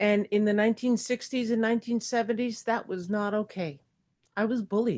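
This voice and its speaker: Speaking at a fairly quick pace, a woman with a plain, everyday voice keeps a fairly high pitch and fairly even intonation. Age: 60s. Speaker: retired substitute teacher, public commenter. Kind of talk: public comment speech at board meeting. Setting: public board meeting.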